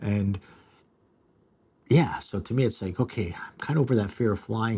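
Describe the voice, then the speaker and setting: In a very clean recording with a silent background, a man with a dark, mellow tone and a somewhat breathy voice speaks at a moderate pace. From Canada, Toronto area. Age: 60s. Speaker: restaurateur and video host. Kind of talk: live stream monologue. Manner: casual, halting with fillers.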